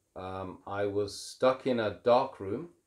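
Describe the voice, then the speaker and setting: On a very clean recording with a silent background, a man with an unremarkable speaking voice and fairly low pitch shows ordinary pitch variation. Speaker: Islamic presenter. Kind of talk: casual talk to camera.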